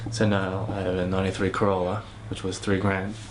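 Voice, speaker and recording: A man speaks with a fairly low pitch in a monotone, flat way. There is audible room echo and noticeable background noise. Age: 20s. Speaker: singer and songwriter. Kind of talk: interview. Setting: home studio. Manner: hesitant, many fillers.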